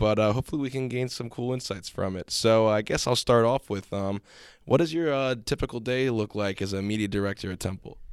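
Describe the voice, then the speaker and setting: Over a silent background in a very clean recording, a man uses a plain, everyday voice at medium pitch, speaking at a fairly quick pace with ordinary pitch variation. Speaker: student podcast host. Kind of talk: casual chat.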